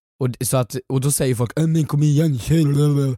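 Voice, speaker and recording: The tone is dark and mellow. The speaker is a man. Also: very clean recording, silent background. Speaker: podcast co-host and comedic actor. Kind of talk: casual chat. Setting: studio.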